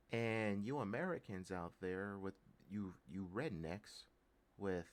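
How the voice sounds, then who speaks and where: A man with a slight Texas accent speaks at a fairly slow pace in a fairly low pitch, his pitch varying in an ordinary way. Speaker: political commentary vlogger. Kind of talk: political rant. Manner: animated.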